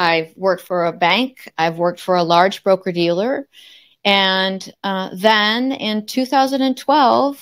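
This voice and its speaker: A woman sounds energetic, with lively intonation and a fairly slow pace. The recording is very clean, with a silent background. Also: medium pitch for a woman. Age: 60s. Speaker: marketing consultant and speaker. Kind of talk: casual interview chat. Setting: podcast interview.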